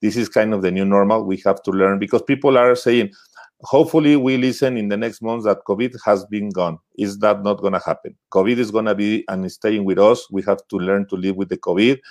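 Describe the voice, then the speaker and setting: A man with a Spanish accent and fairly low pitch talks at a fairly quick pace with hardly any pauses and ordinary pitch variation, in a dry, close sound with no echo. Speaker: webinar host. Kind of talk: live bilingual webinar interview.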